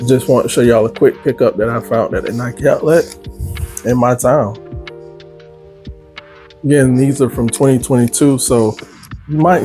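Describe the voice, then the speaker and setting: Clear music plays in the background as a man speaks at a moderate pace with ordinary pitch variation and long, frequent pauses. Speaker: sneaker vlogger. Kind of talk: casual vlog chat. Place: home room.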